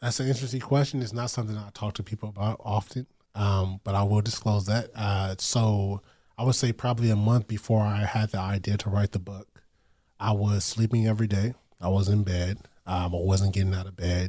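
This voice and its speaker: Somewhat breathy and dark, mellow in tone, the voice carries an American accent with fairly even intonation at a fairly quick pace in a very clean recording with a silent background. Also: man, fairly low pitch for a man. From US West Coast, Long Beach, California. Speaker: author and poet. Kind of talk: casual interview. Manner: halting, many fillers and repetitions.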